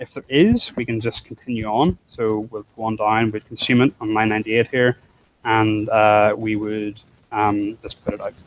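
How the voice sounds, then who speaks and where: The sound is dry and close with no echo as a man speaks at a medium pitch. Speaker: programming instructor. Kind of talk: live coding tutorial. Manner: fast.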